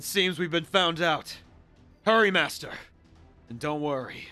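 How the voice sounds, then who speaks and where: A man puts on a character voice, pitched high and moving through ordinary pitch variation. He talks at a moderate pace while faint music plays in the background. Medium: game stream. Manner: grandiose, confident.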